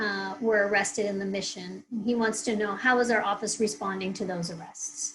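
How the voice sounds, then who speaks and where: This woman has a plain, everyday voice of medium pitch with ordinary pitch variation. She talks at a moderate pace with hardly any pauses. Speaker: town hall moderator. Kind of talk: reading audience questions. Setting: video call.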